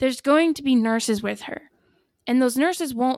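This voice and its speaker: On a very clean recording with a silent background, a woman with a high pitch and an American accent talks at a fairly quick pace with ordinary pitch variation. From northern US. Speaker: nurse. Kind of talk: casual chat.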